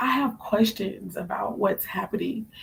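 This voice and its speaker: Speaking at a fairly slow pace, a woman uses a medium pitch with vocal fry. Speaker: spiritual card reader. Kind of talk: live stream reading. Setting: live stream at home, late night.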